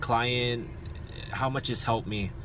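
With music in the background, a man speaks in a dry sound with no echo. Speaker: personal trainer vlogger. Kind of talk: casual vlog chat. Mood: earnest, reflective. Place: car. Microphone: phone near.

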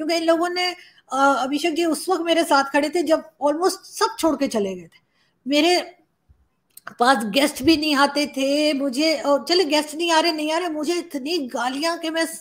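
This woman talks at a fairly slow pace. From Pakistan, Islamabad; Pakistan. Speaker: journalist and YouTuber; journalist, YouTuber. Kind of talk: interview. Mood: emotional, grateful. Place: home room.

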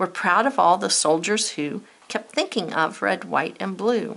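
Speaking at a fairly slow pace in an American accent, a woman uses a medium pitch, lively intonation, a warm tone and vocal fry. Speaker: teacher. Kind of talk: poem reading aloud, then classroom-style lesson. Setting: video lesson to students. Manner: measured, rhythmic, sing-song cadence in the verses; warm and encouraging.

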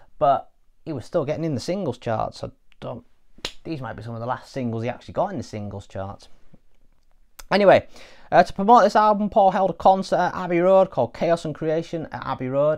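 A man with an English accent talks at a fairly quick pace, his pitch swinging very widely and his loudness rising and falling sharply, against a quiet background. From England. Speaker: music reviewer. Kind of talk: casual spoken review; casual album review talk. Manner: hesitant with frequent fillers. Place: home room. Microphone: lapel.

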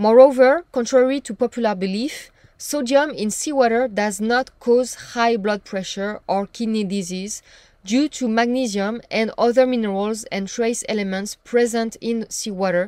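A woman speaks at a moderate pace with a fairly high pitch. Her tone is slightly mellow, and her pitch varies in an ordinary way.

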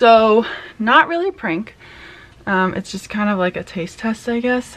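Her pitch moves in an ordinary way as this woman speaks. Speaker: vlogger. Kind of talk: casual vlog chat. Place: home room. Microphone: phone near.

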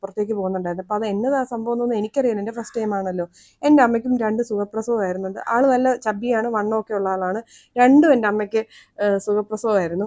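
Against a quiet background, a woman's fairly high voice carries a dark, mellow tone and ordinary pitch variation. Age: 30s. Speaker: vlogger. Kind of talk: personal story monologue.

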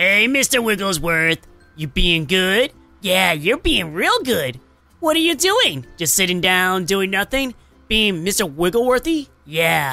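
Faint music plays in the background under a put-on character voice at a middle pitch. The delivery moves at a fairly slow pace. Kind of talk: casual talk. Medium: role play.

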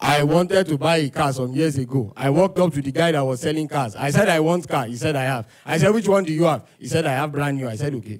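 Speaking very fast with hardly any pauses, a man uses ordinary pitch variation against a quiet background. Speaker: stand-up comedian. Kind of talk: stand-up comedy routine. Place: stage. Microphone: handheld.

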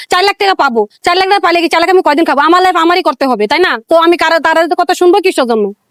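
Lively intonation comes through at very even loudness, in a dry, close sound with no echo. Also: woman, extremely high pitch for a woman. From Bangladesh, Mymensingh. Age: 20s. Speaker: interviewee. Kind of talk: street interview.

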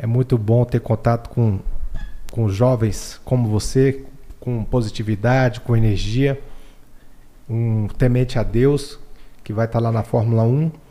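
Long, frequent pauses break up a man's fairly slow delivery. His tone is dark and mellow, and his intonation fairly even. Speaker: podcast host. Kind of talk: interview. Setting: studio. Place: studio. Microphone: studio mic.

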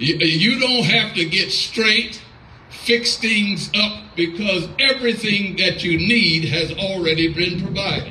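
A man with a high pitch and a bright, sharp tone speaks at a slow pace with ordinary pitch variation in audible room echo.

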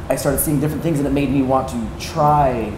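Clear background noise sits behind a man speaking at medium pitch.

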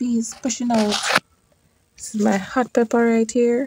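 Fairly slow speech from a woman at high pitch, dry with no echo, against loud background noise. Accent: Jamaican. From Jamaica. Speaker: YouTube gardener. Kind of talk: garden tour vlog. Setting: outdoors in garden. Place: garden. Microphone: phone near.

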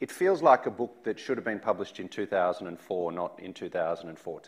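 Someone speaks with an Australian accent against a quiet background. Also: man. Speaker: think tank director, interviewer. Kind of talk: public interview. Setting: stage with audience. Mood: challenging but polite. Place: stage. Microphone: lapel.

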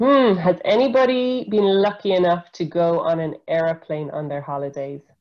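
A woman's fairly low voice with very wide pitch swings and hardly any pauses, against a quiet background. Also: moderate pace. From Ireland. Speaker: environmental scientist; presenter. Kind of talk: educational webinar talk for school pupils. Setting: video call webinar. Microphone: video call.

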